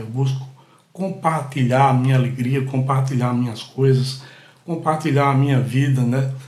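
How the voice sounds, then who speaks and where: Speaking at a fairly slow pace, a man with a medium-pitched, somewhat breathy voice keeps a monotone, flat intonation amid audible room echo. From Brazil, Pernambuco (Catende). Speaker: podcast host, storyteller. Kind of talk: personal storytelling monologue.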